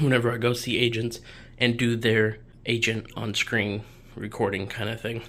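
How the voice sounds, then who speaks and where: This man speaks at a medium pitch and a moderate pace. His intonation stays monotone and flat. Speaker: videographer and YouTuber. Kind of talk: casual room tour vlog. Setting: home office. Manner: casual, with filler words.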